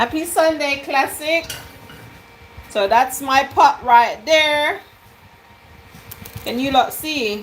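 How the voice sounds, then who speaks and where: Speaking at a very slow pace, a woman uses a high pitch and lively intonation, broken by long, frequent pauses. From Jamaica. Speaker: cooking vlogger. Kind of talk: live stream cooking chat. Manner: animated.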